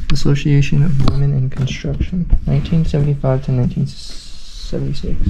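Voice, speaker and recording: Noticeable background noise runs under a man talking at a fairly quick pace with hardly any pauses. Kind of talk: casual exploration chat. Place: home room. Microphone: phone near.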